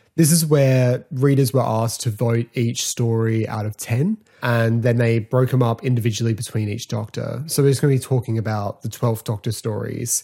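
A man with an Australian accent, a medium pitch and a dark, mellow, somewhat breathy tone, at a moderate pace with fairly even intonation. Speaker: podcast host. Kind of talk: casual solo podcast talk.

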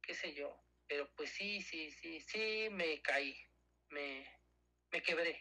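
The man's voice is high, with a bright, sharp tone and ordinary pitch variation. He speaks very slowly, with long, frequent pauses. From Mexico. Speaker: cancer survivor. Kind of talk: testimony. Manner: halting.

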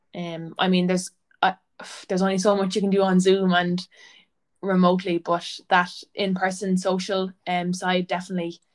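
Moderate pace, with an Irish accent. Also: woman. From Irish Midlands (County Laois). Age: 20s. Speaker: PhD student and athletic therapist. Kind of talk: casual interview. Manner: occasional stammer, mostly fluent.

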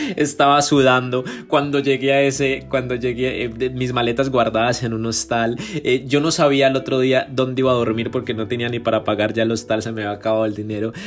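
A man of medium pitch at a fairly quick pace with hardly any pauses, noticeable background noise. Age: 20s. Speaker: podcaster and entrepreneur. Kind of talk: autobiographical monologue. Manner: animated.

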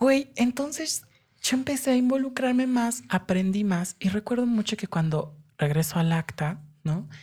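Her fairly high voice carries a dark, mellow tone, as a woman speaks at a fairly slow pace, somewhat breathy, with very wide pitch swings. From Mexico City, family from Hidalgo. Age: 20s. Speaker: human rights lawyer. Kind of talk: interview. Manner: animated.

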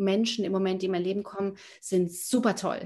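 A woman against a quiet background. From Germany, near Frankfurt. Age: 40s. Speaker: spiritual coach, former banker. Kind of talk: casual interview. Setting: video call. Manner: halting, many fillers.

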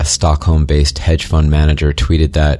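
With music in the background, a man speaks in a very deep, low pitch and a monotone, flat delivery. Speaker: horror story narrator. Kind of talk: ghost story telling, first-person scary narration. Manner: hushed, eerie, slow and suspenseful; earnest, conspiratorial, ominous.

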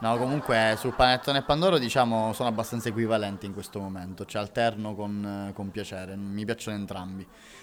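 Very fast pace with hardly any pauses, fairly even intonation and big swings in loudness. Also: man, fairly low pitch for a man. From Sicily, Catania. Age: 20s. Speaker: actor and comedian. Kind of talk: casual chat.

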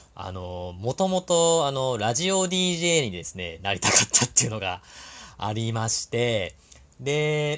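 Speaking at a fairly slow pace, a man with a medium pitch swings his pitch very widely on a very clean recording with a silent background. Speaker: podcast host and labor-law consultant. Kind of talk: solo talk monologue. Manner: conscious of soft, gentle tone; many fillers, hesitant.

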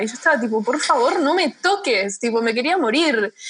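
A woman speaks at a moderate pace in an ordinary speaking voice, her fairly high pitch carried by lively intonation. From United States. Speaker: podcast host. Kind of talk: casual chat.

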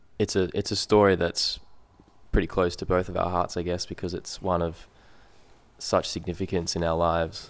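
In a very clean recording with a silent background, a man with an Australian accent speaks at a moderate pace with a very deep, low pitch, monotone, flat intonation and long, frequent pauses. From Perth and Sydney, Australia. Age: 20s. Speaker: photographer. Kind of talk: casual chat.

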